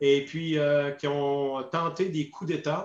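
This is a man's voice. His pitch sits fairly high. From Quebec, Saguenay-Lac-Saint-Jean. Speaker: retired army officer, peacekeeping veteran. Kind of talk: interview testimony. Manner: hesitant, many fillers and repetitions.

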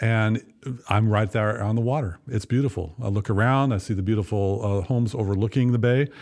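A man with an ordinary speaking voice at medium pitch, with an American accent and ordinary pitch variation, over a quiet background. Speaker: podcast co-host. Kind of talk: casual chat. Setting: studio.

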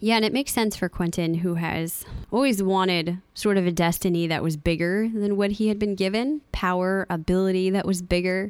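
In an unremarkable speaking voice, a woman talks fairly quickly at medium pitch with ordinary pitch variation and very even loudness, on a very clean recording with a silent background. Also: hardly any pauses. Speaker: podcast host. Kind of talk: casual podcast episode review.

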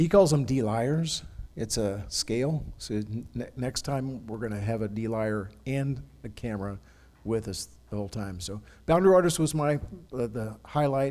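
On a very clean recording with a silent background, a man with a medium pitch and a dark, mellow tone speaks at a moderate pace with lively intonation. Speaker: radio host. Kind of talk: casual chat. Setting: church.

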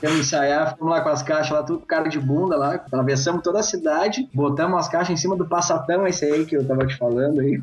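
A man with fairly high pitch and ordinary pitch variation talks at a very fast pace with hardly any pauses. His loudness stays very even over noticeable background noise. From Pelotas, Rio Grande do Sul, Brazil. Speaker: rock singer and vocal teacher. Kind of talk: casual interview chat.

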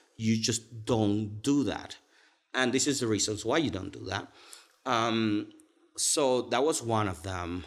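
With a Cuban accent, a man speaks at a fairly slow pace in a medium pitch with ordinary pitch variation and long, frequent pauses. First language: Spanish. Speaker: pastry chef and bakery owner. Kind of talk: casual podcast interview. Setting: conference room.

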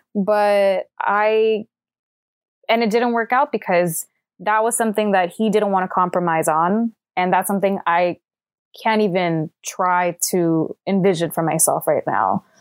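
A woman with an ordinary speaking voice talks at medium pitch and a fairly slow pace, with fairly even intonation and very even loudness, in a dry, close sound with no echo on a very clean recording with a silent background. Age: 20s. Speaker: film production worker, relationship podcast guest. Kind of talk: casual interview chat.

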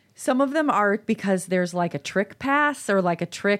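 A woman with a Chicago accent talks at a fairly quick pace. The recording is very clean, with a silent background. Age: 50s. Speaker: podcast co-host. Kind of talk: casual chat.

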